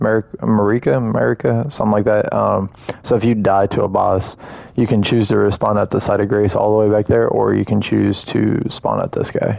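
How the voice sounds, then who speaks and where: Fairly quick speech from a man, amid noticeable background noise. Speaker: gaming YouTuber. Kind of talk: casual gameplay commentary. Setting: close mic. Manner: hesitant, lots of filler.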